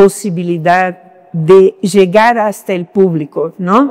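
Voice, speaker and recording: With a Brazilian accent, a woman speaks very slowly at a medium pitch and with fairly even intonation. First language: Portuguese (speaking Spanish). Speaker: academic. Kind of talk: panel discussion. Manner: halting, many fillers.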